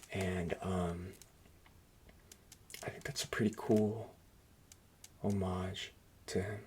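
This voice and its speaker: A soft-spoken man, fairly low-pitched, at a fairly slow pace with fairly even intonation. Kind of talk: soft-spoken ASMR talk to camera. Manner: soft-spoken, casual, hesitant.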